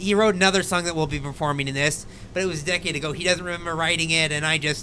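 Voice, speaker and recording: Over light background noise, a man talks at a very fast pace with a bright, sharp tone. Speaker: guest. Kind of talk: casual live stream chat. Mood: amused, self-deprecating. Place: home room. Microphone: studio mic.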